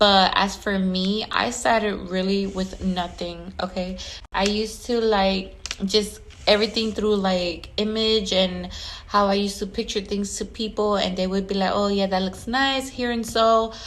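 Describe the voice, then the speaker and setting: Her tone animated, a woman speaks at a fairly slow pace amid audible room echo. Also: medium pitch for a woman. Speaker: event planner and decorator. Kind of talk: casual vlog monologue.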